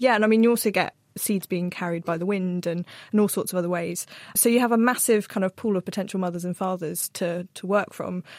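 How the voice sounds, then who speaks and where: A woman talks at a very fast pace with medium pitch and fairly even intonation. The sound is dry and close, with no echo. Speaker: plant scientist and journal features editor. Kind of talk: casual panel Q&A. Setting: studio.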